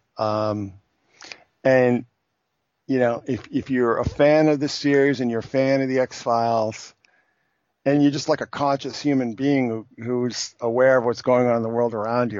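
A man's normal speaking voice at medium pitch, with fairly even intonation and a moderate pace. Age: 50s. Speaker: podcast guest, film and TV commentator. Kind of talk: casual chat.

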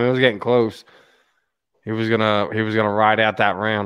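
Fairly quick speech with an American accent in a very clean recording, silent background. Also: man. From Philadelphia area. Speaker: podcast host. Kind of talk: casual sports talk podcast. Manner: animated.

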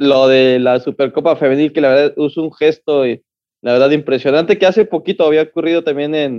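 A man talks at a fairly quick pace, his fairly high pitch showing ordinary variation. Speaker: football podcast co-host. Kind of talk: casual chat.

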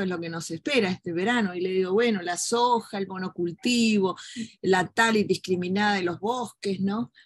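A woman's somewhat breathy voice at medium pitch, with fairly even intonation, a moderate pace and a quiet background. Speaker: human rights lawyer and journalist. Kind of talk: interview conversation.

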